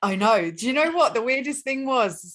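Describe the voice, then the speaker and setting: A woman talks at a fairly quick pace with an English accent. Her pitch swings very widely. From England. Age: 20s. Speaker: relationship mentor and life coach. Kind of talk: podcast interview.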